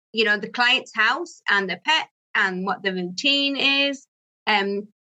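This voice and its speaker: In a Yorkshire accent, a woman speaks at a fairly slow pace. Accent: Barnsley (Yorkshire). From northern England, Barnsley, South Yorkshire. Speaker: pet sitting business owner. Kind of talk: interview.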